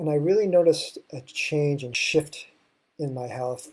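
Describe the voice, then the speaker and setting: Speaking at a moderate pace, a man with an American accent sounds somewhat breathy. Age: 60s. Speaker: health and wellness show host. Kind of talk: solo talk show monologue. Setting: live stream.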